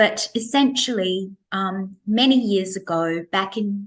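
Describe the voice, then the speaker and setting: At a very slow pace, a woman talks in a somewhat breathy voice of medium pitch. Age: 60s. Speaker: face yoga coach, business owner. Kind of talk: interview.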